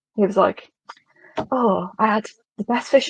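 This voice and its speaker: A somewhat breathy voice with a British accent and ordinary pitch variation, in a dry, close sound with no echo. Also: woman. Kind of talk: casual chat.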